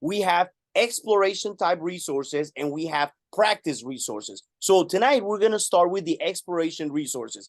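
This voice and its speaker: In a Spanish accent, a man with a high pitch talks at a moderate pace with lively intonation, in a dry, close sound with no echo. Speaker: math teacher and webinar presenter. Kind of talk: webinar tutorial. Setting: live online webinar.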